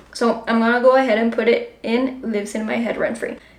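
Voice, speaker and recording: With audible room echo and noticeable background noise, a woman speaks in a high voice with a Spanish accent. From Colombia. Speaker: book vlogger. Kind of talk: casual vlog talk. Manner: casual, filler-heavy.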